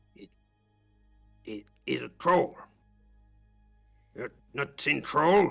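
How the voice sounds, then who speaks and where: A man puts on a raspy character voice with a fairly high pitch, speaking at a very slow pace. Long, frequent pauses break it up, with faint music in the background. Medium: actual play. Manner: curt broken common speech.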